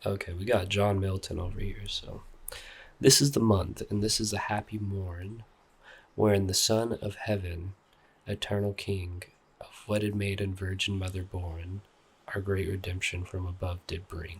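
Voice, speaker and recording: Soft-spoken and somewhat breathy, a man with a fairly low pitch talks at a moderate pace in a relaxed tone with monotone, flat intonation, on a very clean recording with a silent background. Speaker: art YouTuber / artist. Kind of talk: ASMR soft-spoken ramble reading an art book. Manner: soft-spoken, relaxed, casual.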